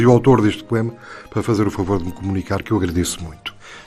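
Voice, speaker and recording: Music plays in the background. Over it, a man speaks at a very fast pace. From Angola (Bié), then Portugal. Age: 70s. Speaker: radio program contributor, war veteran. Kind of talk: radio talk program. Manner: halting, with repetitions.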